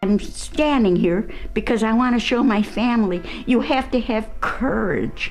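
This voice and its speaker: Music plays in the background as a woman with a Chicago accent speaks at a fairly slow pace. Her pitch is fairly high and her loudness is very even. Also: ordinary pitch variation. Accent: Chicago American English. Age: 80s+. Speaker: author. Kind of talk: interview answer.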